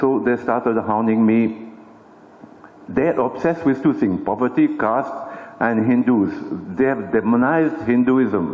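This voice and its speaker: A man speaks at a fairly slow pace with long, frequent pauses and very even loudness against noticeable background noise. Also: medium pitch for a man, ordinary pitch variation. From France. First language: French. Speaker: journalist and author. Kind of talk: symposium talk. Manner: conversational, many fillers.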